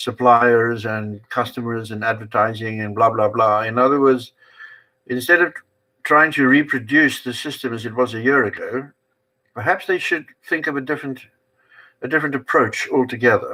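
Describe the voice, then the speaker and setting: A man speaks at a moderate pace and a medium pitch. His tone is bright and sharp, with ordinary pitch variation. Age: 80s+. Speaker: channel owner, commentator. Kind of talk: casual chat. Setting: livestream. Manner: animated.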